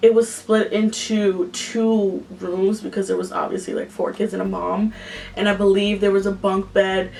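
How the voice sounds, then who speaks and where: Woman with an American accent, monotone, flat intonation and a moderate pace, over noticeable background noise. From Yonkers, New York. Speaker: vlogger. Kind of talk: storytime vlog. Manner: casual, filler-heavy.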